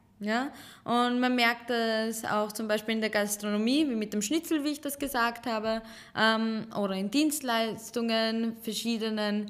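Speaking at a fairly slow pace, a woman with a plain, everyday voice keeps a fairly high pitch and fairly even intonation. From Serbian Roma, raised partly in Chicago and Vienna. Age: 20s. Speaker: teacher and Roma activist. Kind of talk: casual interview conversation. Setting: office studio.

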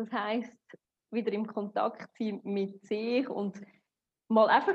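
A woman's somewhat breathy, fairly high voice in a Swiss accent, with fairly even intonation. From Switzerland. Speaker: psychotherapist. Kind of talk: interview.

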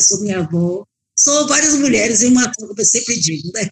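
A woman speaks at a moderate pace with fairly high pitch and lively intonation. She has an ordinary speaking voice. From Bahia, Brazil. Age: 60s. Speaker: restaurant owner and cook. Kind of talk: interview.

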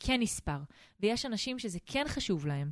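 A woman in an ordinary speaking voice at a moderate pace, over a quiet background. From Israel, Eilat. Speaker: family finance advisor, podcast co-host. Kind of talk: casual chat.

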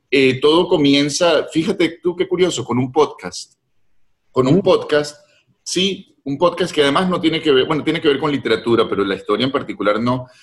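Using a normal speaking voice, a fairly high-pitched man talks at a moderate pace with lively intonation. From Venezuela, Caracas. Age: 50s. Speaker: novelist. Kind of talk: interview conversation.

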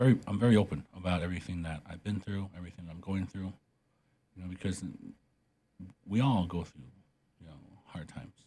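A man's very deep, low voice, dark, mellow and somewhat breathy, at a fairly quick pace with long, frequent pauses, ordinary pitch variation and big swings in loudness. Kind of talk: interview conversation. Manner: halting, many fillers.

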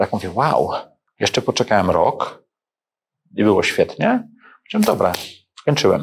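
Long pauses come often as a man talks at a moderate speed. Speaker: entrepreneur and investor. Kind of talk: interview.

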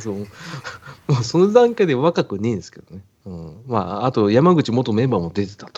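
At a fairly quick pace, a man with a medium pitch shows very wide pitch swings and big swings in loudness. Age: middle-aged. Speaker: podcast co-host. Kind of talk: casual chat. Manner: laughing often.

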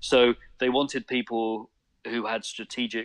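With a British accent and fairly even intonation, a man talks at a fairly slow pace on a very clean recording with a silent background. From UK. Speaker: photographer. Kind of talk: casual interview.

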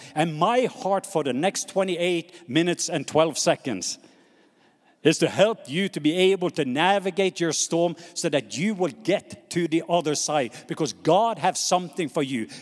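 With a Norwegian accent, a man speaks in a high pitch at a moderate pace, his tone animated and his pitch variation ordinary. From Norway. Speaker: missionary preacher. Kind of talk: sermon. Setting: stage with audience.

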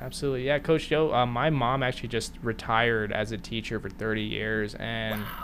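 A plain, everyday voice from a man at medium pitch, fairly quick and fairly even in intonation. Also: hardly any pauses. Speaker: podcast host. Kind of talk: casual interview.

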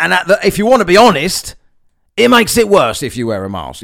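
An animated man with an Essex accent, high-pitched and at a fairly quick pace. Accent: Essex English (southeast England). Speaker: podcast host. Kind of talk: angry, profanity-laced solo rant against mask mandates. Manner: exasperated and scornful, swearing with sarcastic mockery; animated, rambling with repeated words and laughs.

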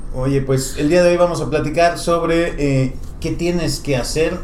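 A man's fairly high voice at a fairly slow pace, with fairly even intonation, audible room echo, and noticeable background noise. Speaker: podcast host, marketing agency director. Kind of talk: casual interview.

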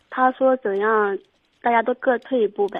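Using fairly even intonation, a woman speaks at a fairly slow pace with a fairly high pitch. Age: 20s. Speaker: caller. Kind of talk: call-in advice. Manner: halting.

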